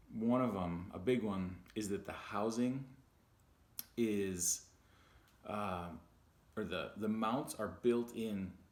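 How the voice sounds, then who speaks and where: Audible room echo surrounds a voice that moves at a very slow pace with fairly even intonation. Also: man. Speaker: vlogger. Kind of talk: casual unboxing vlog.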